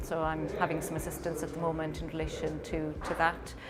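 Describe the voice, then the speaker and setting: A woman with a Welsh accent speaks at a moderate pace. Audible room echo and background music accompany her. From Wales. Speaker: lawyer. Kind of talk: interview talk. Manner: hesitant, many ums; calm.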